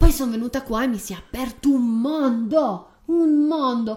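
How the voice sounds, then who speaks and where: Her intonation is lively and her pitch high. The woman speaks at a fairly slow pace. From Turin, northern Italy. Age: 30s. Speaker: podcast host. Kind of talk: casual conversational podcast. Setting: home desk recording.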